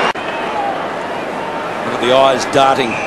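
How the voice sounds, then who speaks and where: Amid loud background noise, a man speaks in a dry sound with no echo. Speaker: football commentator. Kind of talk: live commentary. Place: stadium.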